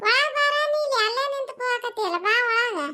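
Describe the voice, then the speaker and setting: A woman puts on a cartoonish character voice at an extremely high pitch. It sounds squeaky and moves at a moderate pace. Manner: warm, teasing.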